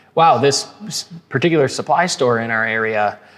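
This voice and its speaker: Here a man talks at a medium pitch. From Minnesota, Twin Cities. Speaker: podcast guest, business banker. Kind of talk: casual interview chat. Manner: hesitant, many fillers and restarts.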